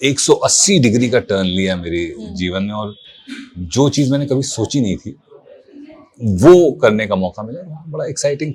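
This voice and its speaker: Noticeable background noise sits behind a man at medium pitch whose voice has very wide pitch swings, big swings in loudness and long, frequent pauses. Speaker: voice artist; actor. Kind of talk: interview answer.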